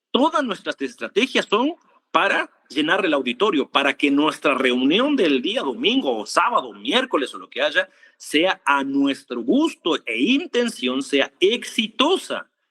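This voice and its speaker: A man with a high, bright, sharp voice projects loudly at a fairly slow pace, with very wide pitch swings. The sound is dry and close, with no echo. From Argentina. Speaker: preacher. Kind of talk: sermon. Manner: animated.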